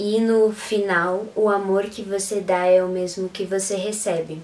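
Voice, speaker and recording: A woman at a very slow pace with monotone, flat intonation. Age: 20s. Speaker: photographer and Beatles fan youtuber. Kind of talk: interview.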